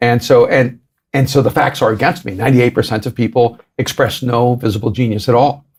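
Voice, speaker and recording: Somewhat breathy and medium in pitch, a man speaks at a fairly quick pace with very even loudness and fairly even intonation. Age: 60s. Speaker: author and pastor. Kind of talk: podcast interview.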